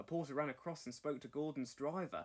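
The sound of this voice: The speaker moves at a fairly quick pace, with ordinary pitch variation. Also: man, fairly high pitch for a man.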